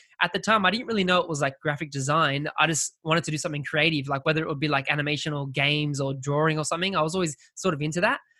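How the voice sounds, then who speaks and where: Speaking with an Australian accent, a man goes at a very fast pace with hardly any pauses. His fairly high voice has a bright, sharp tone and fairly even intonation, on a very clean recording with a silent background. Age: 20s. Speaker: graphic designer. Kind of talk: casual interview.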